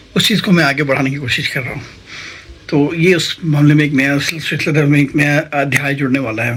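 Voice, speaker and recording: The man's delivery is moderately paced. Background noise is noticeable throughout. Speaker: vlogger and amateur singer. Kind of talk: casual vlog talk. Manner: halting, many fillers.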